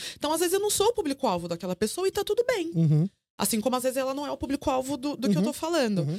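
Over a dry, close sound with no echo, a woman talks at a very fast pace with a high pitch, very wide pitch swings and a dark, mellow tone. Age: 30s. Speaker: journalist and content creator. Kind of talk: casual chat.

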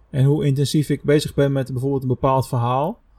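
A dark, mellow tone with fairly even intonation, recorded dry and close with no echo. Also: man. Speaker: podcast host. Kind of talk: casual chat.

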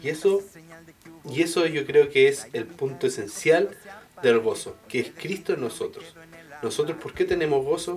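Background music runs throughout. The talking goes at a moderate pace. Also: man. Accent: Chilean. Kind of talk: casual chat. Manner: animated.

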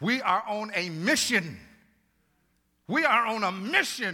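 Raised and projected, a man's high-pitched voice has a bright, sharp tone and ordinary pitch variation. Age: 50s. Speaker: pastor. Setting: church. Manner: impassioned and emphatic, repeating phrases for rhythm; conversational, colloquial asides to the congregation.

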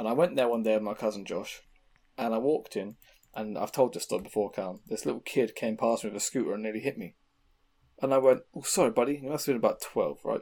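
A man with an English accent, very fast, dark and mellow in tone, with ordinary pitch variation. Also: medium pitch for a man. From England. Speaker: podcast host. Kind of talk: casual chat. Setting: video call.

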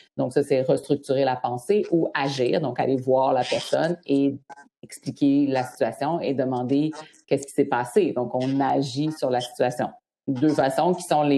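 A woman's very deep, low voice with a dark, mellow tone and a Quebec accent, fairly slow in pace and fairly even in intonation. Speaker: nutrition and eating-behaviour specialist. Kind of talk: interview.

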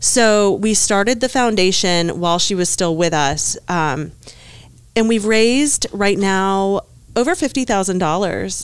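At a fairly slow pace, a woman speaks in a Southern US accent. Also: medium pitch for a woman, lively intonation. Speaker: business owner, local news publisher. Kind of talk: casual chat.

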